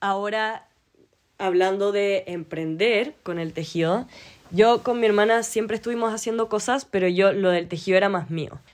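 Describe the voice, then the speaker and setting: A woman with a Chilean accent speaks at a medium pitch with ordinary pitch variation. She keeps a moderate pace. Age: 20s. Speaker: podcast host and knitting entrepreneur. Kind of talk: solo casual monologue.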